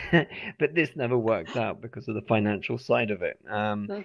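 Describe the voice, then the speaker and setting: A man with a British accent speaks at a medium pitch and a fairly quick pace. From England. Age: 30s. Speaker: English teacher. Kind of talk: interview. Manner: halting, repetitive.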